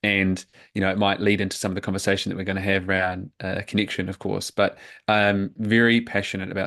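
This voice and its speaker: In a monotone, flat intonation, a man speaks with a fairly low pitch. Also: quiet background. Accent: New Zealand. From New Zealand. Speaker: men's coach. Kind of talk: podcast interview.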